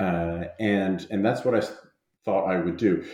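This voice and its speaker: This man talks at a moderate pace. He has an American accent. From New Jersey, US. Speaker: anthropology professor and author. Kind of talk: interview. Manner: halting, many fillers.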